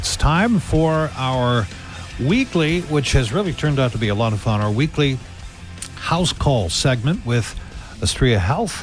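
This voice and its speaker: With music playing in the background, a man talks fairly slowly at a medium pitch, his intonation lively. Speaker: radio show host. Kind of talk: radio interview questions.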